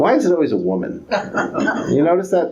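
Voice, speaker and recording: A man talks with a New York accent and lively intonation. Noticeable background noise and audible room echo fill the recording. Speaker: economics professor. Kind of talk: lecture. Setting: public talk with audience.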